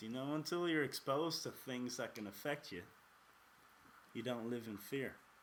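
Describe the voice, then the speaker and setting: Speaking with an Irish accent, a man keeps a moderate pace. His pitch swings very widely. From Ireland. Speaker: podcast host. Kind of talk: casual podcast monologue.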